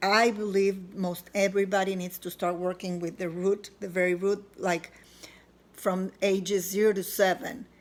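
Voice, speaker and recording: This woman has a medium-pitched voice. She speaks at a moderate pace with monotone, flat intonation. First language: not English. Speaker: self-help author. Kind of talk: personal vlog testimony. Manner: halting, with fillers.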